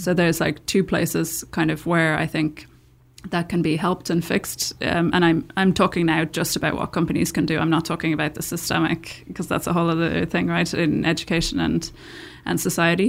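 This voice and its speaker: In a Dublin accent with vocal fry, the speaker keeps a fairly even intonation in a very clean recording with a silent background. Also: woman, fairly low pitch for a woman. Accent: Irish (Dublin). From Ireland, Dublin. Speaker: tech startup founder. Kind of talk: interview conversation. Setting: studio.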